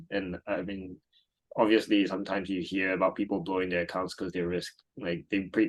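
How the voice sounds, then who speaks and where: A man with a very deep, low voice, talking at a very fast pace. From Singapore. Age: 30s. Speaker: trading community member. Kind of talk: interview. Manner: casual, hesitant with fillers.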